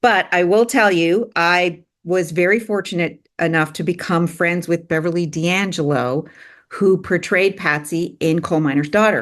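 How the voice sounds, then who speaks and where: With an ordinary speaking voice, a woman of fairly low pitch and ordinary pitch variation speaks at a fairly slow pace against a quiet background. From Canada. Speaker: filmmaker and producer. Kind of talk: interview.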